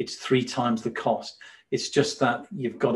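Here a man speaks with a northern English accent. His pitch is medium. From northern England. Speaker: watch company co-founder. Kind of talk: interview. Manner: hesitant, many fillers.

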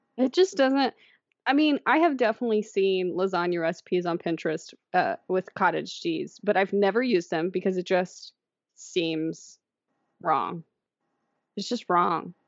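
A woman at medium pitch, with lively intonation and a moderate pace. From Indiana. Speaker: podcast co-host. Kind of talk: casual chat.

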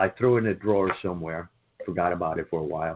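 A man with a Cuban accent at a very fast pace, with ordinary pitch variation. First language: Spanish. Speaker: author and comedian. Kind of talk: interview.

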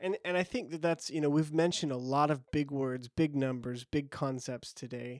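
Recorded very cleanly with a silent background and a dry, close sound with no echo, an ordinary speaking voice moves at a moderate pace with fairly even intonation and hardly any pauses. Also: man, fairly high pitch for a man. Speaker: podcast host. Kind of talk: casual podcast chat about coffee.

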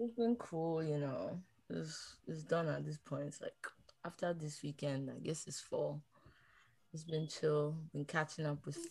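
Somewhat breathy and at a very deep, low pitch, a woman speaks at a fairly slow pace with ordinary pitch variation. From Nigeria. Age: 20s. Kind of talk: casual chat.

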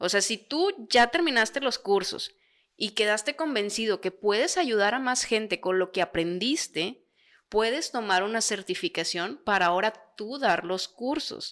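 On a very clean recording with a silent background, a woman with an unremarkable speaking voice talks at a fairly slow pace, her fairly high pitch carried by lively intonation. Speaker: podcast co-host. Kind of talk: casual chat.

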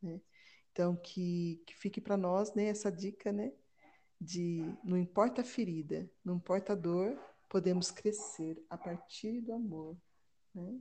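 Speaking at a fairly slow pace, a woman with a medium pitch and a dark, mellow, somewhat breathy tone shows ordinary pitch variation and big swings in loudness. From Brazil, Campinas (São Paulo state). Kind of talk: casual religious discussion.

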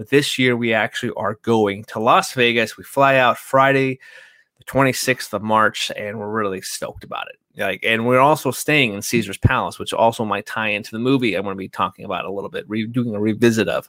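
On a very clean recording with a silent background, a man with an American accent speaks at a fairly quick pace in a medium pitch with ordinary pitch variation, his tone bright and sharp and the sound dry and close with no echo. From California. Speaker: movie podcast host. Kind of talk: casual chat.

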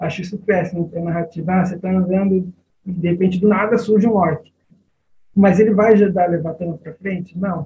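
A man speaks at a fairly quick pace in a high pitch, with a dark, mellow tone and monotone, flat intonation. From Brazil, São Paulo area (São Bernardo do Campo). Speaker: lawyer and Tolkien fan, RPG writer. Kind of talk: casual interview chat. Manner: halting, repeats words.

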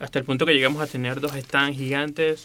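A man with a Venezuelan accent speaks in a bright, sharp tone. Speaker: graphic designer and illustrator. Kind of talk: interview.

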